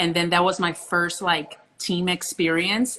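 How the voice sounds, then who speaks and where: A woman with a fairly low pitch and a bright, sharp tone speaks at a moderate pace. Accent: Portuguese. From Brazil, Rio. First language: Portuguese. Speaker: professional beach volleyball player. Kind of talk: interview.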